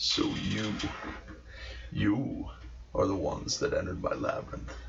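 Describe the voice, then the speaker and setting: A man speaks in a put-on character voice at a moderate pace, his loudness very even. Background noise is clearly audible. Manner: menacing.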